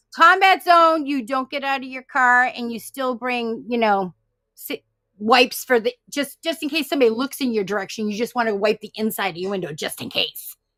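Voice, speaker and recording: On a very clean recording with a silent background, a high-pitched woman speaks fairly quickly with an animated, bright, sharp tone and lively intonation. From Massachusetts, Boston area. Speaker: paranormal live stream participant. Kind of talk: casual chat.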